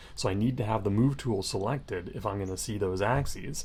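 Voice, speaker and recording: The tone is dark and mellow, with ordinary pitch variation. Audible room echo surrounds the voice. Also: man. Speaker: instructor. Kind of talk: tutorial. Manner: fast.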